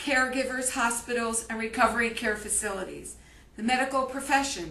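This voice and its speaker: A woman's raised, projected voice, high in pitch with fairly even intonation, carries over audible room echo and noticeable background noise. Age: 60s. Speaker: grieving daughter and elder-care advocate. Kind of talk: personal testimony and diary reading. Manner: emotional, impromptu.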